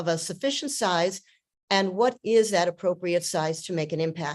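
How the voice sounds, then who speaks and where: A woman with a New York accent, lively intonation and a moderate pace against a quiet background. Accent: sounds like New York. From Ohio, US. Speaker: participant. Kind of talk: question in group call.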